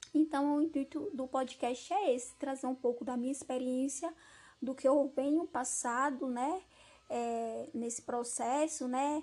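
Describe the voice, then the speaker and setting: Set against a very clean recording with a silent background, this dark, mellow voice moves at a fairly slow pace with fairly even intonation. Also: woman, high pitch for a woman. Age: 20s. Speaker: podcast host, history student and primary school teacher. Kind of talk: personal monologue introducing a self-discovery podcast.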